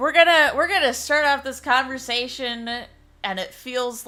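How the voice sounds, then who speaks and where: A woman with an American accent, a high pitch and a bright, sharp tone, at a fairly slow pace. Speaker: livestreamer, podcast host. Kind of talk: casual chat. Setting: livestream.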